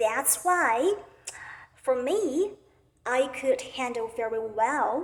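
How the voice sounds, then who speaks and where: Speaking at a very slow pace in a Chinese accent, a woman uses a high pitch with ordinary pitch variation. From China. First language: Mandarin Chinese. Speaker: Chinese language teacher. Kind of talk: self-introduction monologue.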